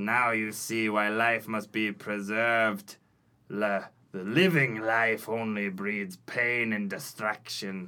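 A man uses a booming, put-on character voice at a fairly low pitch. He goes at a very slow pace on a very clean recording with a silent background. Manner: booming, dramatic.

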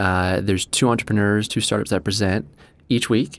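A very fast man's voice in an American accent, fairly low in pitch with ordinary pitch variation, in a very clean recording with a silent background. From New Jersey. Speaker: entrepreneur. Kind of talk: interview. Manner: hesitant, many fillers.

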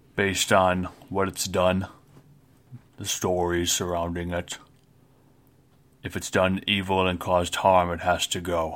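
A man in a put-on character voice, very deep and low, flat and monotone, at a fairly slow pace with long, frequent pauses. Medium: actual play. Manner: curt, few words, blunt.

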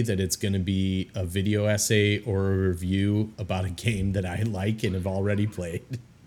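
A man speaks at a fairly low pitch. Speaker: podcast and stream co-host. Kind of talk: casual chat. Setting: live stream. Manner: loud.

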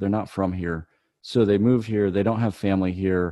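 A man with an American accent talks in an unremarkable speaking voice, his fairly low pitch showing ordinary variation. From US Midwest, Michigan. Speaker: pastor. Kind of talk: casual interview.

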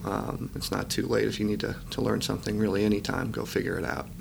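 The speech comes at a very fast pace. Audible room echo and noticeable background noise surround it. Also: man. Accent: American. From US Midwest, southeastern Michigan. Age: 30s. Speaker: real estate developer and company lawyer. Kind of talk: interview. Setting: office.

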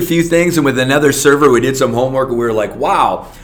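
Ordinary pitch variation in a man's fairly high voice, along with audible room echo and noticeable background noise. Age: 40s. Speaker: restaurant industry veteran. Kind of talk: casual chat.

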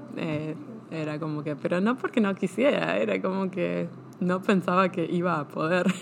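Noticeable background noise sits behind this woman's voice. She speaks at a moderate pace with a fairly low pitch and lively intonation. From Argentina (Buenos Aires and Bahía Blanca). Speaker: scientist, lab head. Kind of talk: interview. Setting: early morning recording.

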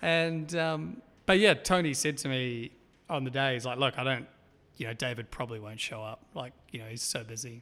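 A man speaks at a moderate pace in a medium pitch, with ordinary pitch variation and a bright, sharp tone. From New Zealand, East Auckland. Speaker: documentary filmmaker. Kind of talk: interview. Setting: at a film company office.

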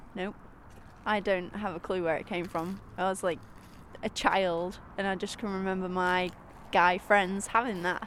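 An English accent carries a woman's medium-pitched, monotone, flat delivery at a fairly slow pace with long, frequent pauses. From England, small town. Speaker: interviewee. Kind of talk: casual interview. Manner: hesitant, many fillers.

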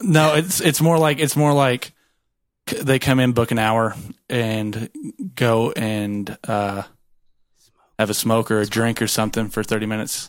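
On a very clean recording with a silent background, a man speaks at a fairly slow pace. He has an ordinary speaking voice, medium in pitch with ordinary pitch variation. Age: 20s. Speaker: former church volunteer, guest. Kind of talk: casual chat.

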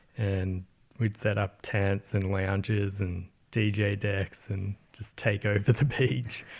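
A man speaks very slowly at a fairly low pitch. His voice is somewhat breathy, with fairly even intonation. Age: 30s. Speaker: podcast co-host and surf brand designer. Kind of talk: casual chat.

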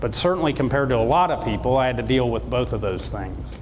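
Over noticeable background noise and audible room echo, a man with a Southern US accent speaks with ordinary pitch variation. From US South, South Georgia. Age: 40s. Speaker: motivational speaker. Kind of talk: inspirational talk to an audience.

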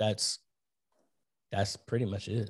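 Against a quiet background, a man talks at a medium pitch with fairly even intonation and a somewhat breathy sound. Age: 40s. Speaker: church musician and media ministry teacher. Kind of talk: interview. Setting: video call.

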